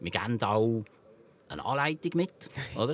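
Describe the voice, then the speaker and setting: A man at a moderate pace. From Switzerland, canton Lucerne. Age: 50s. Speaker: company founder and grill maker. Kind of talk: interview. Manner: halting.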